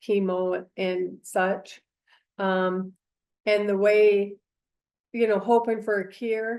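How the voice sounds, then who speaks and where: The background is quiet. A woman talks at a medium pitch. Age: 60s. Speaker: cancer patient, clinical trial participant. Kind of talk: interview testimony. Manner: hesitant, many fillers.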